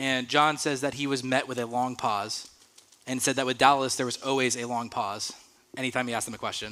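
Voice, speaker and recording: The tone is bright and sharp, the intonation monotone and flat. Speech moves at a fairly quick pace. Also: man, medium pitch for a man. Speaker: youth pastor. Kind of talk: sermon. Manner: fast.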